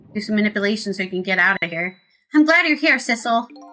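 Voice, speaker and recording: Music in the background behind a woman's fairly high voice. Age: 30s. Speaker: streamer. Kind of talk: casual gameplay commentary with game text read aloud.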